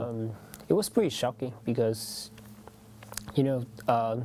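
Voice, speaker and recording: The voice carries a Vietnamese accent. It moves at a moderate pace. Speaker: international student. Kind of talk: interview testimony. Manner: halting, many fillers.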